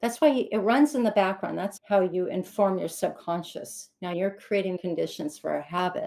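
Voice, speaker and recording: A woman speaks at a moderate pace with hardly any pauses. She has an unremarkable speaking voice, medium in pitch, with ordinary pitch variation. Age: 60s. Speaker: author and women's circle founder. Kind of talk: podcast interview.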